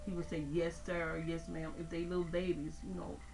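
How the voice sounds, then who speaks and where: A woman speaks with music in the background. Her voice carries audible room echo. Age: 60s. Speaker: interviewee. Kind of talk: testimony. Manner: halting.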